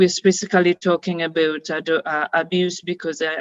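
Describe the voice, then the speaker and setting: A woman speaks with a Ugandan accent. Her pitch is fairly low. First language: Luganda. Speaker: founder and director of a women's organization. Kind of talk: webinar opening remarks. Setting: online webinar. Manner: hesitant, many fillers.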